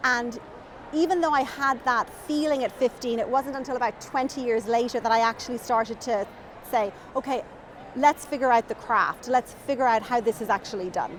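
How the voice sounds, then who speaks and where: A woman speaks with a strong Irish accent. Her pitch is high. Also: ordinary pitch variation, fairly quick pace. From Ireland, Dublin. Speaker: children's author. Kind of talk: interview chat.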